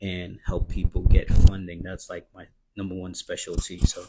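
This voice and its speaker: A man speaks quietly at a moderate pace. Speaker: credit and business funding mentor. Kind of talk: live stream promo talk. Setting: live stream at home. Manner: quiet, low voice; subdued, not animated.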